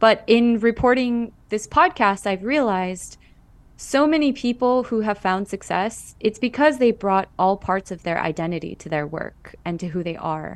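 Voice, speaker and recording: With a Californian accent, a woman at medium pitch speaks at a moderate pace with lively intonation. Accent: Californian American. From Los Angeles Koreatown. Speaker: actor and podcast host. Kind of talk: radio interview.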